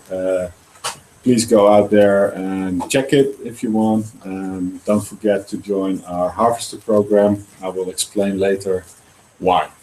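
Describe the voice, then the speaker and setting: A very slow, monotone, flat delivery from a fairly low-pitched man with a Dutch accent. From Netherlands. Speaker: startup founder. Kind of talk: presentation. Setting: live presentation with audience, online broadcast. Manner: halting with many fillers.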